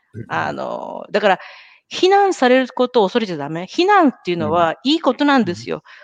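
A woman at a fairly quick pace, dry and close with no echo. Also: big swings in loudness. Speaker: podcast host and marketing professional. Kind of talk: casual chat. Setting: live video stream.

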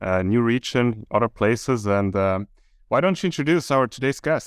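A medium-pitched man with a Swiss accent at a fairly quick pace, dry and close with no echo. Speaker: podcast co-host. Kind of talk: casual podcast conversation. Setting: video call, Singapore.

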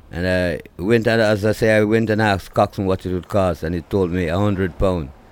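Speaking fairly quickly in a Jamaican accent, a man uses a very deep, low voice with fairly even intonation. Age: 60s. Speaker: reggae singer. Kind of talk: interview. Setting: at home. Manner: halting.

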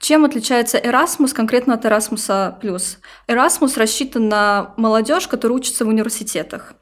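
A woman speaks in a plain, everyday voice, fairly high in pitch and varying in an ordinary way. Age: 20s. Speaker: manager and youth worker, Erasmus participant. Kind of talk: casual interview.

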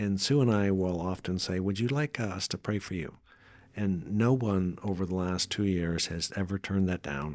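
With an American accent, a man with a very deep, low pitch talks at a moderate pace. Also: ordinary pitch variation, very clean recording, silent background. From northwestern Pennsylvania. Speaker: retired Air Force veteran and churchgoer. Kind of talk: casual interview.

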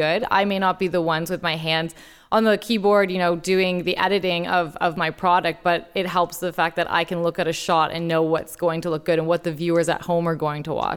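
A plain, everyday voice moves at a fairly quick pace with fairly even intonation in a very clean recording with a silent background. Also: woman. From Toronto, Canada. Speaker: sports story editor. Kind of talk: casual chat.

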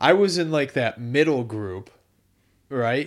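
With very wide pitch swings, a man speaks at a fairly slow pace and a fairly high pitch. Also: very clean recording, silent background. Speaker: amateur gravel cyclist. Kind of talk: casual chat.

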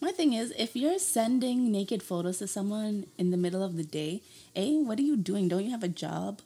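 The delivery moves at a fairly quick pace. The tone is dark and mellow, with some breathiness. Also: woman, medium pitch for a woman, lively intonation. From Scarborough, Toronto. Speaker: university student. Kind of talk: casual chat.

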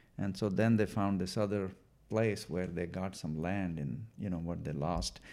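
In an Indian accent, a man with a very deep, low pitch and a dark, mellow tone speaks at a moderate pace with ordinary pitch variation. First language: Punjabi. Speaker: former school superintendent. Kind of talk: interview. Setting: in-person conversation. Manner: halting, many fillers.

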